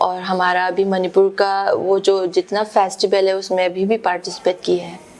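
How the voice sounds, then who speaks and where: Through noticeable background noise, a woman speaks at a medium pitch with a Manipuri accent. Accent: Manipuri-accented Hindi. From Manipur, India. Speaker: theatre actor. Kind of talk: interview answer. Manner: hesitant, searching for words.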